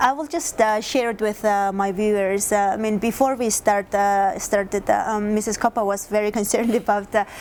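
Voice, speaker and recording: A woman with a Mongolian accent talks at a moderate pace, with hardly any pauses. Her pitch is fairly high and her intonation fairly even. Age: young. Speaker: interviewer. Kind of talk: interview. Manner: hesitant, many fillers.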